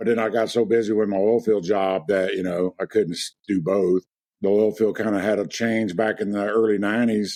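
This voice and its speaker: Speaking fairly quickly with a Louisiana accent, a man has a fairly low pitch, a dark, mellow tone and monotone, flat intonation. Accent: Louisiana, noticeable. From US South, Lake Charles, Louisiana. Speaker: real estate agent. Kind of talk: interview.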